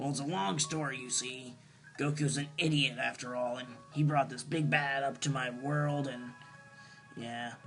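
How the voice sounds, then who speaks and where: A man speaks at a moderate pace in a put-on character voice, his pitch medium, with clear music playing in the background. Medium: solo performance. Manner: lecturing, exasperated.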